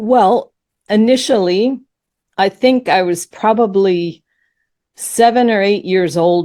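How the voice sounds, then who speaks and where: Recorded very cleanly against a silent background, a woman speaks at a fairly slow pace in a dark, mellow tone with lively intonation. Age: 60s. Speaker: author and spiritual teacher. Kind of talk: interview.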